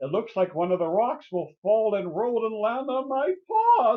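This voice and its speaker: A man puts on a high-pitched character voice and talks at a moderate pace. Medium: read story. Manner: worried, listing fears.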